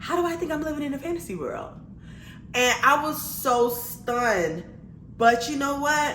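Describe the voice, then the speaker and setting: A woman's high-pitched, animated voice with an American accent, lively intonation, a moderate pace and long, frequent pauses, plus noticeable background noise and audible room echo. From Miami, Florida (Liberty City). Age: 30s. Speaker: vlogger. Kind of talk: testimony.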